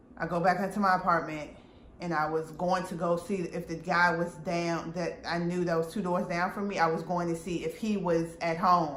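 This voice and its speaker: A woman speaks at a moderate pace in a fairly low, monotone voice with flat intonation. Audible room echo and noticeable background noise are present. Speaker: vlogger telling personal story. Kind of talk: storytime monologue. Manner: loud.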